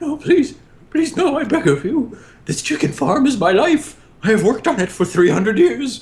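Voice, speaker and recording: This put-on character voice has a fairly high pitch and very wide pitch swings. The pace is moderate. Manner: pleading, desperate.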